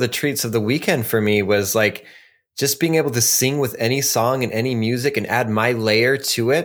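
A man with a plain, everyday voice, a fairly quick pace and very even loudness on a very clean recording with a silent background. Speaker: podcast host. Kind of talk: casual chat, storytelling podcast. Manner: casual, laughs often, profane.

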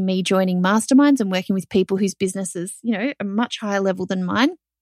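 A woman with an Australian accent speaks at a medium pitch with ordinary pitch variation. The sound is dry and close, with no echo. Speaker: podcast host, online business owner. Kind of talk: solo podcast monologue, casual and conversational. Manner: animated, conversational.

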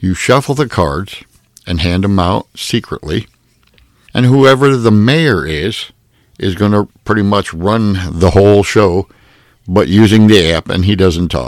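A man with an ordinary speaking voice, fairly low pitch, lively intonation and a fairly slow pace. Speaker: podcast host. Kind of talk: casual game-review podcast monologue. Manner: friendly, conversational, upbeat.

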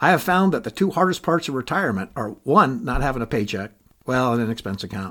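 Very fast and bright, a man speaks with a sharp tone at a medium pitch. His pitch swings very widely. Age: 60s. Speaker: podcaster, retiree. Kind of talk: personal monologue. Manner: conversational.

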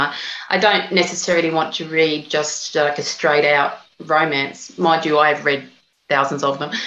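In an Australian accent, a woman with a very deep, low pitch speaks at a moderate pace, and audible room echo surrounds her voice. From Australia, northern Sydney. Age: 50s. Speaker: novelist. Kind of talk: interview.

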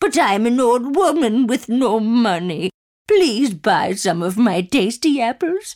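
In a put-on character voice, the speaker talks at a fairly slow pace with a fairly high pitch and a raspy edge. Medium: read story. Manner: pleading, then flustered denial.

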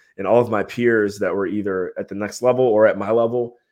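In a quiet background, a man with an American accent and an unremarkable speaking voice talks at a moderate pace, with a fairly low pitch and ordinary pitch variation. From Ohio, US Midwest. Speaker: entrepreneur, mastermind group leader. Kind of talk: interview, casual business chat.

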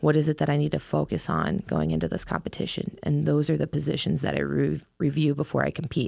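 A woman with an American accent talks at a very fast pace with hardly any pauses, her very deep, low pitch swinging very widely, her tone dark and mellow with vocal fry and her loudness very even. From Ohio, US Midwest. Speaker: wrestler. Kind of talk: interview.

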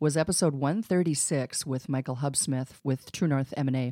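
A woman with an American accent, very deep and low in pitch, dark and mellow in tone, at a fairly quick pace with a dry, close sound and no echo. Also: very clean recording, silent background. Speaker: podcast host and exit planning advisor. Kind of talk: casual chat. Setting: studio.

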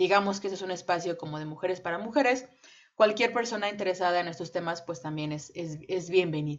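An ordinary speaking voice from a woman at medium pitch. She talks at a fairly quick pace with ordinary pitch variation. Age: 20s. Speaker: podcast co-host, English teacher. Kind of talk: casual chat.

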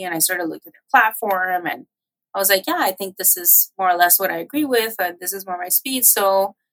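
A woman speaks at a fairly quick pace in a medium pitch, in a normal speaking voice. The sound is dry and close with no echo. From US, Miami, Florida, Cuban-American community. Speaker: political campaign and policy professional. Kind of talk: interview conversation.

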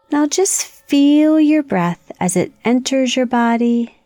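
Over background music, a woman speaks at a very slow pace in a calm, soothing tone. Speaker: meditation guide for children. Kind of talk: guided meditation. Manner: slow, calm, soothing, gently paced with long pauses.

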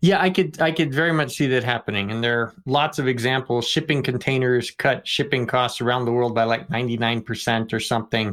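On a very clean recording with a silent background, a man in a plain, everyday voice talks at a fairly quick pace and medium pitch, with ordinary pitch variation and hardly any pauses. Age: 40s. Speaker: economics textbook author, podcast co-host. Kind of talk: casual discussion.

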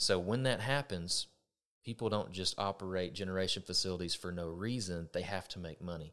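A man's very deep, low voice in a Texan accent, at a fairly quick pace with ordinary pitch variation, on a very clean recording with a silent background. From Texas. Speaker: electric co-op vice president of member services. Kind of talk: casual chat.

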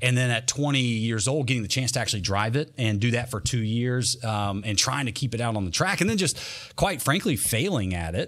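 Talking very fast in a Southern US accent, a man at medium pitch shows ordinary pitch variation on a very clean recording with a silent background. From North Carolina. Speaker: monster truck driver. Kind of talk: casual interview. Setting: studio.

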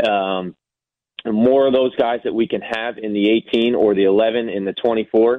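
Speaking with an American accent, a man talks at a fairly slow pace and a medium pitch. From US East Coast. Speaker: soccer technical director, former player. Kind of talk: interview. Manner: hesitant, many fillers.

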